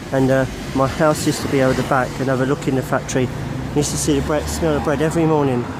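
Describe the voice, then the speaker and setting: A man's medium-pitched voice at a very fast pace, with ordinary pitch variation, very even loudness, noticeable background noise and audible room echo. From Essex and East London. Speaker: vlogger. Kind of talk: walking tour vlog. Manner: casual, rambling.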